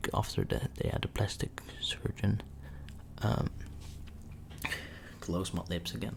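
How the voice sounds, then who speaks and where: A man whispers at a fairly slow pace, leaving long, frequent pauses. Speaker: ASMR creator. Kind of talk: ASMR story time. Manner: soft-spoken.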